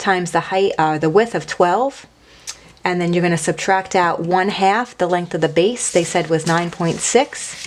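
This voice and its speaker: Someone talks at a moderate pace in a normal speaking voice with ordinary pitch variation. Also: woman, fairly low pitch for a woman. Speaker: math teacher. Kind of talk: recorded lesson. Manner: casual.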